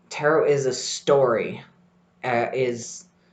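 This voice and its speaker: Audible echo fills the room. The man's pitch varies in an ordinary way. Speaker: tarot podcast host. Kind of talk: solo podcast talk. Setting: library study room.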